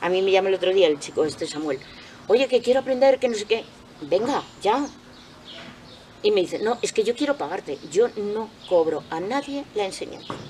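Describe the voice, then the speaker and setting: Amid noticeable background noise, a woman at medium pitch speaks with very wide pitch swings and long, frequent pauses. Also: moderate pace. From Spain, Cuenca province. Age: 60s. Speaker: retired artisan soap maker. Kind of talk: interview.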